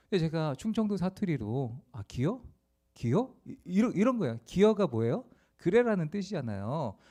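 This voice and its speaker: A man's high-pitched, dark, mellow voice at a moderate pace, with very wide pitch swings. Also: big swings in loudness. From South Korea, rural Asan, South Chungcheong. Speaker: pastor. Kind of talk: sermon. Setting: church, Friday prayer meeting.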